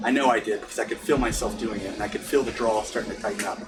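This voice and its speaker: A man with an American accent speaks at a very fast pace. Noticeable background noise can be heard. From US South. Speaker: pipe smoking instructor. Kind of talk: tutorial. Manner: halting.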